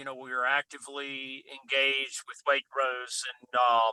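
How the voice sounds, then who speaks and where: A man speaks in a flat monotone with a bright, sharp tone, and the sound is dry and close with no echo. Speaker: farmer and regenerative agriculture speaker. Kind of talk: interview. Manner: halting, repeats words.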